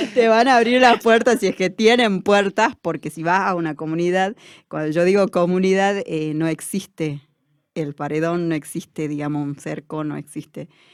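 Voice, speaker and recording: With lively intonation, a woman speaks in an unremarkable speaking voice. Her pitch is fairly low and her pace moderate. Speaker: education student and community worker. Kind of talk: interview. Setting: studio.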